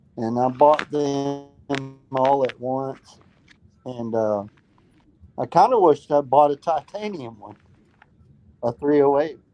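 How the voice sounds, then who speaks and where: Over music in the background, a man with a fairly high pitch and ordinary pitch variation speaks fairly slowly, with long, frequent pauses and big swings in loudness. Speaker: caller on gun livestream. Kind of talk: casual chat.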